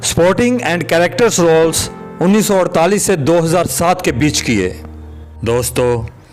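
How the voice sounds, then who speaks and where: With music in the background, a man talks with very wide pitch swings. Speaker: voice-over narrator. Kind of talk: documentary biography narration.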